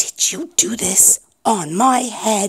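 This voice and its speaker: Someone puts on a growling character voice pitched fairly high. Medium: read story. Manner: earnest, persistent.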